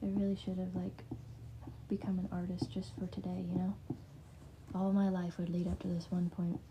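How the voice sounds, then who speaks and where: A woman speaks at a moderate pace, leaving long, frequent pauses. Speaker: spiritual healer livestreamer. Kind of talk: live stream talk. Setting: social media live stream. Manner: hesitant, filler-heavy; whispering.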